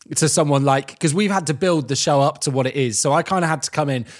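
With an English accent, a man speaks at a fairly high pitch with ordinary pitch variation. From England. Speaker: radio presenter. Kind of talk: casual chat.

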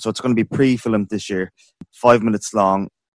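Fairly quick, monotone, flat delivery in an Irish accent, dry and close with no echo, against a quiet background. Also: man. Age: 30s. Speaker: podcast host for amateur theatre group. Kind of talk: interview.

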